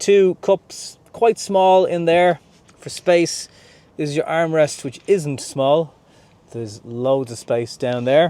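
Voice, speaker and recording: With an Irish accent, a man talks at a very slow pace in a dark, mellow tone, pitched fairly high with lively intonation. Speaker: car reviewer. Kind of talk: video review walkthrough.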